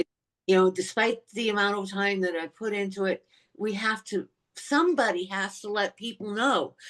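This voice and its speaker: A woman with a normal speaking voice keeps a moderate pace. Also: medium pitch for a woman, ordinary pitch variation. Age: 60s. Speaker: eating disorder awareness advocate. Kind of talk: podcast interview.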